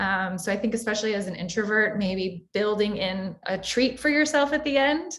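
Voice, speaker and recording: With a plain, everyday voice in an American accent, a woman speaks at a moderate pace and fairly high pitch, using lively intonation and hardly any pauses. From Florida. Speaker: career services moderator. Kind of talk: panel discussion.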